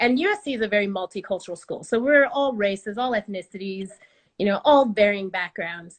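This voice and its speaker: A woman with an American accent and an unremarkable speaking voice talks at a fairly quick pace, medium in pitch with ordinary pitch variation. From Oklahoma, US. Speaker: storyteller. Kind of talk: storytelling.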